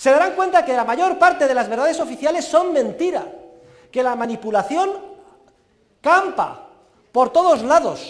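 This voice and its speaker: A man's extremely high-pitched voice with lively intonation and audible room echo. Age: 50s. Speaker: university professor. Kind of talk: lecture.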